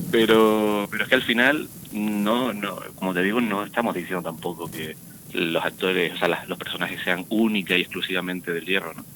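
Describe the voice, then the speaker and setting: Spoken in a plain, everyday voice, the delivery keeps ordinary pitch variation at a moderate pace. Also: man, fairly low pitch for a man. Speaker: actor. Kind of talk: radio interview.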